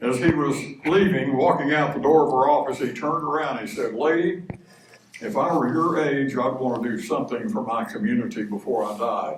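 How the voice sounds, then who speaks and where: Recorded with audible room echo and noticeable background noise, a man with an American accent speaks at a fairly quick pace in a fairly high voice with lively intonation. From Texas, Dallas. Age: 80s+. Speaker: retired professor and minister. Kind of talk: speech at a church men's breakfast. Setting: church breakfast with audience.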